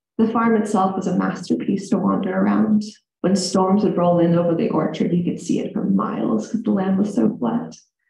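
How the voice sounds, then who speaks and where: In an American accent, a woman speaks fairly quickly at medium pitch with lively intonation and audible room echo. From US Midwest, central Illinois. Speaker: storyteller. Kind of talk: live storytelling to audience. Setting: stage with audience in reading room.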